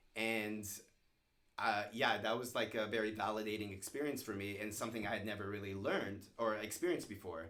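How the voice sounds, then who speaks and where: In a room with audible echo, a man speaks loudly and at a fairly quick pace, his fairly low voice bright and sharp in tone with fairly even intonation. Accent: American. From US East Coast, Virginia (Stafford). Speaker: screenwriter. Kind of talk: interview conversation.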